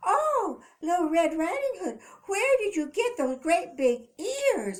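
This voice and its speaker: Doing a put-on character voice, a woman squeaks at an extremely high pitch with very wide pitch swings and a fairly slow pace, in a very clean recording with a silent background. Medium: read story. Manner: gentle, affectionate.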